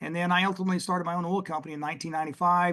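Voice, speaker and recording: A Texas accent, fairly even intonation, and a quiet background. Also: man. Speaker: oil and gas investment executive. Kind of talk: podcast interview.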